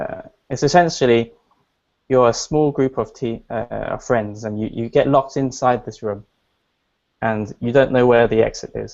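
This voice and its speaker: A medium-pitched man at a moderate pace, with fairly even intonation and long, frequent pauses. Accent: British. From England. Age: 20s. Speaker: entrepreneur. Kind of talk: interview. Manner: hesitant, with fillers and restarts.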